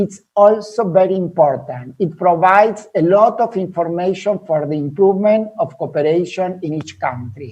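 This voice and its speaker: Moderate-paced speech with a non-native accent and hardly any pauses. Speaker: health education program manager. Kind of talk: webinar presentation. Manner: halting, many repetitions and fillers.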